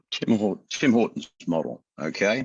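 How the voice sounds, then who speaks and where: Recorded with a dry, close sound and no echo, a man speaks with an Australian accent. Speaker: company CEO. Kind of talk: investor interview. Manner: casual, conversational.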